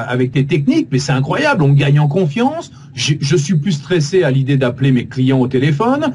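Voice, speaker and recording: Over noticeable background noise, a man talks with a fairly high pitch. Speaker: voice actor and radio host. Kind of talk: interview answer. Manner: dynamic.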